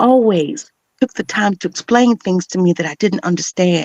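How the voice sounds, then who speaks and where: In a normal speaking voice, a woman with an American accent talks at a moderate pace and medium pitch with ordinary pitch variation. The sound is dry and close, with no echo. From Chicago suburbs, Illinois, USA. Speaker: spoken word poet, voice artist, motivational speaker. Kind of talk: spoken word poetry performance.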